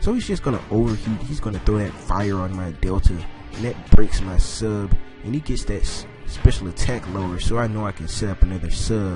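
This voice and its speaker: Music plays in the background as a man speaks at a fairly low pitch with ordinary pitch variation. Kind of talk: casual gameplay commentary.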